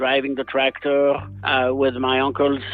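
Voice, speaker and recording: With a strong French accent, a man speaks at medium pitch in a monotone, flat delivery at a moderate pace, music playing in the background. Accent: heavy French. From France, Beaujolais. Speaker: winery owner and winemaker. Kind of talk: interview.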